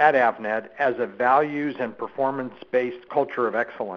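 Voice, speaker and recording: A man talks in a plain, everyday voice at a medium pitch. His pace is moderate. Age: 60s. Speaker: company executive. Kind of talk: interview.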